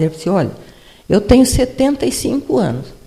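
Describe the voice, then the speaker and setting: Background noise is noticeable here. Over it, this woman talks. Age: 80s. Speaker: retired professor and former city administrator. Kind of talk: personal testimony talk at a panel event. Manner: conversational, with repetitions and self-corrections.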